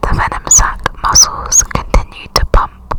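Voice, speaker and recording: Over noticeable background noise, a whisper comes at a very slow pace. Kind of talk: ASMR fact reading. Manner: whispered.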